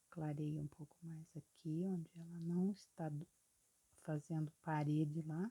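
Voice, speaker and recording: A soft-spoken, somewhat breathy woman with a dark, mellow tone and very deep, low pitch, monotone and flat in intonation, at a fairly slow pace, in a dry, close sound with no echo. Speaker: painting teacher. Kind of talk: tutorial.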